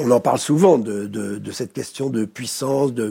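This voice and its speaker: A man's dark, mellow tone at a moderate pace. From France. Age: 70s. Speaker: conflict mediator. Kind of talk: interview. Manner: halting, many repetitions.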